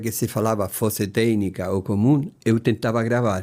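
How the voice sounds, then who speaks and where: A man with a Spanish accent, medium pitch and moderate pace, on a very clean recording with a silent background. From Chile. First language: Spanish (speaking Portuguese). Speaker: retired engineer, host's father. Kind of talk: casual family interview.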